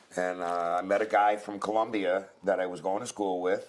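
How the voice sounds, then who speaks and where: A man with an American accent talks at a fairly quick pace in a fairly low pitch and a normal speaking voice. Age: 60s. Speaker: ex-convict. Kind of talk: casual chat.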